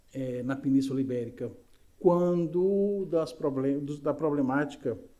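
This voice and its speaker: Audible room echo surrounds a man's dark, mellow voice. He speaks at a fairly slow pace with lively intonation. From Brazil, Recife (Pernambuco). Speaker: spiritist lecturer. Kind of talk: lecture. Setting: spiritist center, live audience and YouTube stream.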